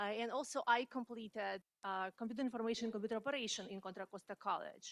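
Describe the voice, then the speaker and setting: A woman at a fairly quick pace, with a non-native accent, a fairly high pitch and fairly even intonation, in a dry, close sound with no echo. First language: not English. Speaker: community college student. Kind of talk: audience question at career panel. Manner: halting, many fillers.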